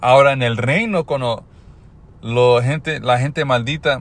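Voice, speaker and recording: A man with an English accent speaks at medium pitch and a fairly slow pace. His intonation is fairly even. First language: English (speaking Spanish). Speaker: religious teacher. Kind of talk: religious teaching. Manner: halting.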